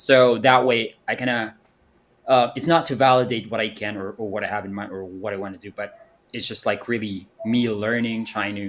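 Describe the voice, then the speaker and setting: A man with a non-native accent speaks at a medium pitch, his intonation fairly even while his loudness swings widely. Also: moderate pace. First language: not English. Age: 30s. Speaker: panelist. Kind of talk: live audio panel discussion. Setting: online audio space. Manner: halting, many fillers.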